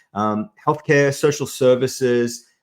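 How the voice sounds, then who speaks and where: This man speaks with an Australian accent at a moderate pace. His intonation is lively. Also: very clean recording, silent background. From Australia, Sydney. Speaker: executive advisor and business consultant. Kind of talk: interview podcast.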